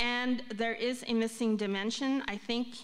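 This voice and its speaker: Monotone, flat intonation at a fairly slow pace, with audible room echo. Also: woman. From Philippines. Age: 60s. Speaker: conference speaker. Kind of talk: conference talk.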